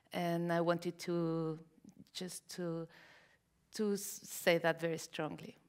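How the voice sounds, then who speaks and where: A woman with a Mexican accent talks at a very slow pace in a fairly low, monotone voice, leaving long, frequent pauses. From Mexico. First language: Spanish. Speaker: novelist. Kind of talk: onstage interview. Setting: library event with audience. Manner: halting.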